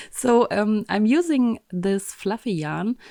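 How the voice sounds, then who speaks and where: A woman's dark, mellow tone with a German accent, ordinary pitch variation, and a dry, close sound with no echo. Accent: German accent, trouble with th sound. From Germany. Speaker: embroidery teacher. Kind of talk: tutorial. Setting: home craft room, window open. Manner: hesitant, many fillers.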